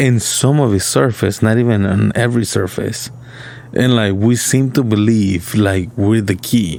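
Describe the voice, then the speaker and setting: A man with a fairly low pitch speaks at a fairly slow pace, with ordinary pitch variation. There is noticeable background noise. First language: not English. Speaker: podcast co-host. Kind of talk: casual chat. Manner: halting.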